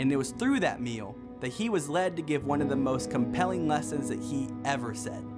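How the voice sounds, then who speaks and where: Music plays in the background as a man speaks at a moderate pace with lively intonation. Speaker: spoken word poet. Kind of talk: spoken word poetry performance. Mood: earnest, warm, preaching tone. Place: studio.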